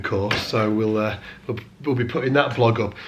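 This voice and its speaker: There is audible room echo along with noticeable background noise. A man of medium pitch speaks at a moderate pace with fairly even intonation. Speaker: bass teacher. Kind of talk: casual vlog talk. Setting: studio.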